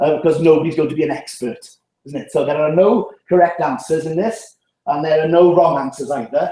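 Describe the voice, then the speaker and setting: A man with a South Welsh accent talks at a very fast pace, his high-pitched voice carrying a dark, mellow tone. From Wales, Llanelli. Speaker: public health speaker. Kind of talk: seminar talk. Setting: seminar room with audience.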